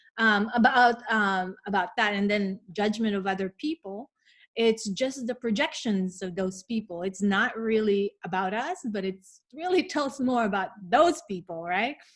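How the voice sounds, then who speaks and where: A woman with a Filipino accent, fairly high pitch and lively intonation, at a fairly slow pace with hardly any pauses, on a very clean recording with a silent background. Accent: Filipino accent, still present. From Philippines. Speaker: wellness podcast co-host. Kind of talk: casual chat.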